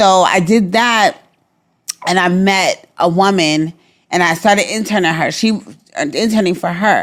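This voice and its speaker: In a Brooklyn accent, a woman speaks at a fairly slow pace with medium pitch. Her ordinary pitch variation is broken by long, frequent pauses. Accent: New York (Brooklyn). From New York, Brooklyn. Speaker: Navy veteran and entertainment publicist. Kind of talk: interview. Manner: repetitive, stammering restarts.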